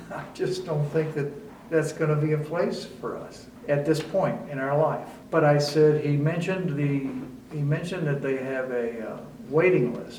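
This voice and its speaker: A man's fairly high-pitched voice with fairly even intonation at a moderate pace, amid noticeable background noise and audible room echo. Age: 70s. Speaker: retired resident. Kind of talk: interview testimony. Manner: conversational with fillers.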